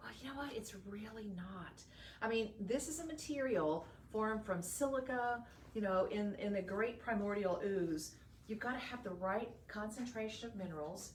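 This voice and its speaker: In a Texan accent, a woman talks at a moderate pace in an animated tone with ordinary pitch variation. Noticeable background noise and audible room echo surround her. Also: fairly high pitch for a woman. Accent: Texan Southern American. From northeast Texas. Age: 60s. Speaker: shopping channel host and gemologist. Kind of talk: live shopping sales pitch.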